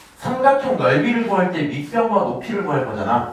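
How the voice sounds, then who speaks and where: There is audible room echo and noticeable background noise as a man talks at a fairly quick pace with a high pitch. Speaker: math teacher. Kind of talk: lecture.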